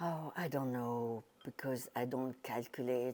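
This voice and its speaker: In a French accent, a woman speaks at a very slow pace with a dark, mellow tone. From France. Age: 80s+. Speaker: retired teacher and charity volunteer. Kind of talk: interview. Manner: halting.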